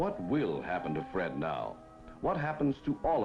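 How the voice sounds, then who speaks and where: With music in the background, a man at a medium pitch speaks at a moderate pace, his pitch swinging very widely. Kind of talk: 1950s documentary narration.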